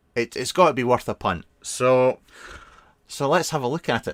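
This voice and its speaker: A man with a Scottish accent at medium pitch, recorded with a dry, close sound and no echo. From Scotland (Fife). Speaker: vape product reviewer. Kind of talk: casual live stream review. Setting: live stream. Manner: casual, hesitant with fillers.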